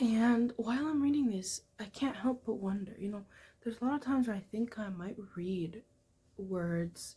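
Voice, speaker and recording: A woman's fairly high-pitched, somewhat breathy voice with a dark, mellow tone. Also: ordinary pitch variation, moderate pace. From Egyptian family, Arabic-speaking background. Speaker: book vlogger. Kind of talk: casual vlog talk about a book. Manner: casual, filler-heavy.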